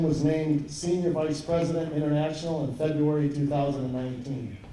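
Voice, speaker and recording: Talking at a fairly quick pace, a man with a fairly high pitch and fairly even intonation is heard with audible room echo and noticeable background noise. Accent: Wisconsin. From Wisconsin. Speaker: baseball consultant and coach. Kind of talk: award introduction speech. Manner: halting, repeats phrases.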